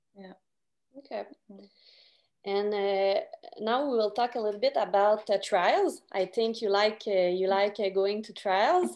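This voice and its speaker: Speaking fairly slowly, a woman with a Quebec accent has a medium pitch. Her loudness swings widely. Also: ordinary pitch variation. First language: French. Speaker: podcast host. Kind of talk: interview.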